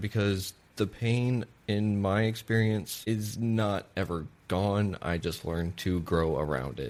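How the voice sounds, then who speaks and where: A man speaks in a normal speaking voice, his fairly low pitch moving with ordinary variation. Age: 30s. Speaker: podcast host. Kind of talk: podcast interview.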